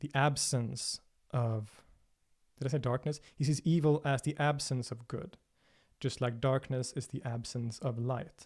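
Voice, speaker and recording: Somewhat breathy and at medium pitch, a man with a Swedish accent speaks with fairly even intonation in a very clean recording with a silent background. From Sweden, Stockholm. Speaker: religion and philosophy video creator. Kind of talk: livestream Q&A. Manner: hesitant, many fillers and repetitions.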